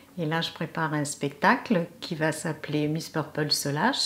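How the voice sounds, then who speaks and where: A woman with a very deep, low pitch at a fairly slow pace, noticeable background noise. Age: 70s. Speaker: actress. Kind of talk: interview. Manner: hesitant, many fillers.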